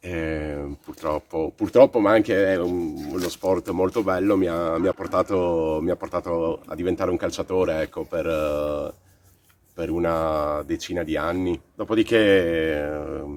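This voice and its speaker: A man with a very deep, low voice speaks fairly slowly and with fairly even intonation. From Croatia, moved to Italy at 13. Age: 30s. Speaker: boxing coach. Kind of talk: interview testimony. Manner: halting, many fillers.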